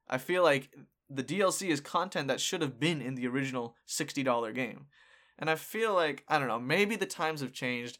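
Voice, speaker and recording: The speaker has an unremarkable speaking voice with ordinary pitch variation and a fairly quick pace. The recording is very clean, with a silent background. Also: man, fairly high pitch for a man. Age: 20s. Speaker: podcast host. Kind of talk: casual chat.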